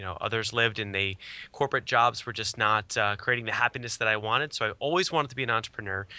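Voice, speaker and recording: Over a silent background in a very clean recording, a man speaks in an energetic, bright, sharp tone at medium pitch with ordinary pitch variation. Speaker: entrepreneur and social media marketing expert. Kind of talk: interview.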